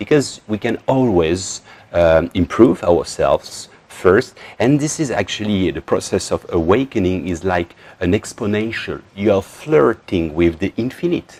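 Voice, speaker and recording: A man with a French accent speaks at a fairly low pitch. His intonation is lively and his pace fairly slow. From northern France. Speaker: spiritual teacher. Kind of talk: talk to camera. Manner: halting.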